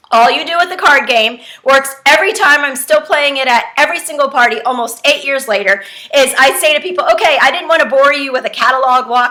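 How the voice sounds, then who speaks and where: A woman's raised, projected voice, high in pitch, at a very fast pace with ordinary pitch variation and noticeable background noise. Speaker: direct sales trainer. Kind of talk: tutorial. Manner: casual, chatty.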